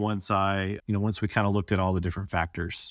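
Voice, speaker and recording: A man's fairly low-pitched voice with a Southern US accent. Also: dry, close sound with no echo. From US South. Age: 40s. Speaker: retreat participant. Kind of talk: interview testimony. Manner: halting.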